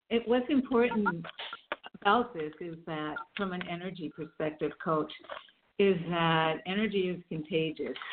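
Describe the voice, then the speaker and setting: A woman with an ordinary speaking voice talks at a moderate pace, her fairly low pitch carried by lively intonation. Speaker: energy coach. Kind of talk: interview conversation. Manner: warm, laughs often.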